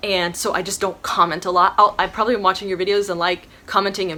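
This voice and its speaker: This woman's tone is bright and sharp, her pitch medium. She talks at a fairly quick pace with fairly even intonation. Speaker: YouTuber, subscription box unboxer. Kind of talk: casual Q&A vlog. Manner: fast.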